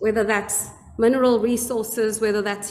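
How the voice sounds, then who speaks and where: Amid noticeable background noise and audible room echo, a woman speaks fairly slowly at a fairly high pitch in a monotone, flat intonation. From South Africa. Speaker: webinar panelist, activist. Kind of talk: panel discussion. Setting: online webinar.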